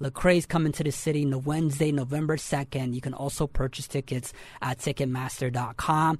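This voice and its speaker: With an unremarkable speaking voice, a man talks at a moderate pace with fairly even intonation. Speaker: podcast host. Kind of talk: interview.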